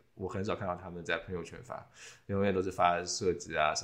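Here a man is talking. His voice sits very deep and low. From China. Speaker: podcast host, industrial designer. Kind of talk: casual chat.

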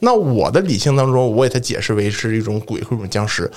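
Noticeable noise fills the background. The talking is very fast. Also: man. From Northeast China. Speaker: religious studies PhD student. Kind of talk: casual chat.

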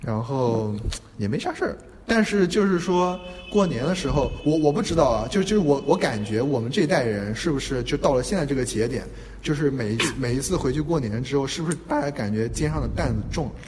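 Over noticeable background noise and audible room echo, a man with a fairly high pitch speaks with lively intonation. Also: fairly quick pace. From Qingdao, northern China. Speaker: podcast co-host, design graduate student. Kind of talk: casual chat. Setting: university classroom.

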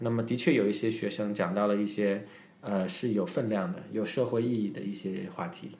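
In a room with audible echo, a man speaks in a fairly low voice at a moderate pace with ordinary pitch variation. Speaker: English teacher and public speaking coach. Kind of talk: casual interview chat.

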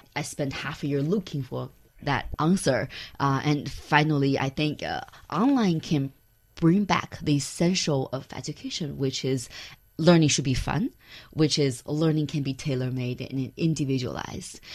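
Very deep, low pitch from a woman with a Chinese accent, ordinary pitch variation, a moderate pace and a quiet background. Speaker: startup founder and CEO. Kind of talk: interview.

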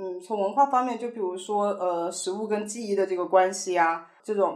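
A normal speaking voice at a moderate pace. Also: woman. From Sichuan, China. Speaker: chef and restaurant manager. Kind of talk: casual interview chat.

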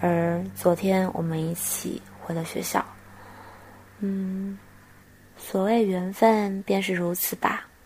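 Speaking at a very slow pace with long, frequent pauses, a woman keeps a medium pitch and a monotone, flat intonation. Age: 20s. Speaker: podcast host. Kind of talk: personal reflective monologue. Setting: guesthouse room.

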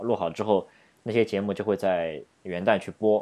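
Against a quiet background, a man with an unremarkable speaking voice speaks at a moderate pace, using a fairly low pitch and fairly even intonation. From Shanghai, China. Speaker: podcast co-host. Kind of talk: casual chat.

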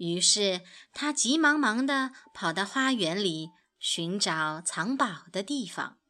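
Reading aloud happens in a natural voice.

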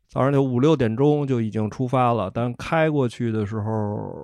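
In a quiet background, a man talks with a medium pitch. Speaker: host's husband, first-time podcast guest. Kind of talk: casual chat. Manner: terse, reluctant talker.

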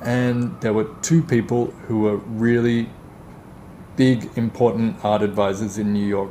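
Over noticeable background noise, a man with an Australian accent speaks in a medium pitch at a fairly slow pace, with ordinary pitch variation and long, frequent pauses. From Australia, Melbourne. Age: 30s. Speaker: art advisor. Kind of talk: interview.

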